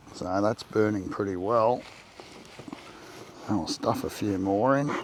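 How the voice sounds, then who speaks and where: A man with an Australian accent, fairly low pitch, relaxed tone, fairly even intonation and fairly slow pace, over noticeable background noise. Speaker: backyard beekeeper. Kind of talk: tutorial. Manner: casual, relaxed.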